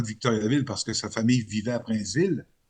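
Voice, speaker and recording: Very fast speech in a Quebec accent with ordinary pitch variation. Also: man. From Quebec, Côte-Nord (Sept-Îles). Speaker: radio journalist. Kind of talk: interview. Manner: hesitant, many fillers.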